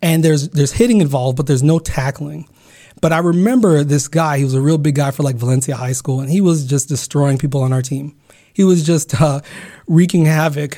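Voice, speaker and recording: A man with a fairly high voice speaks at a fairly quick pace, somewhat breathy. His tone is dark and mellow, with ordinary pitch variation. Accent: American. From California, US. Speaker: podcast host. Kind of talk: solo personal storytelling. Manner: halting.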